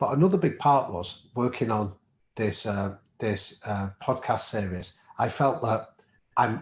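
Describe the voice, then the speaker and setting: Speaking with a Manchester accent, a man has a fairly low pitch and a somewhat breathy voice. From northern England, Manchester. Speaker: professor and podcast co-host. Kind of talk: interview conversation.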